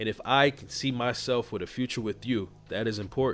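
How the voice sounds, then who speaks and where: Over a silent background on a very clean recording, a man with an ordinary speaking voice and medium pitch talks at a fairly quick pace with ordinary pitch variation. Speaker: dating and relationship coach. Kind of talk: casual video monologue. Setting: seated in his usual corner at night.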